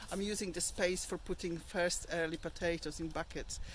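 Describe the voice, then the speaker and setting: A woman's voice in a dry space with no echo, over light background noise. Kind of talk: casual vlog tour. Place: garden. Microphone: phone near.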